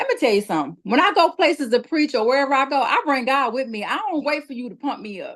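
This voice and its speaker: A loud woman's high-pitched voice, animated in tone, with lively intonation, a very fast pace and hardly any pauses. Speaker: evangelist. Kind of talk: testimony.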